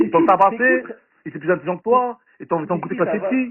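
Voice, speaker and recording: A man races along at a very fast pace with very wide pitch swings. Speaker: participant in online audio chat room. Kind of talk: heated argument. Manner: fast, swallows syllables; agitated.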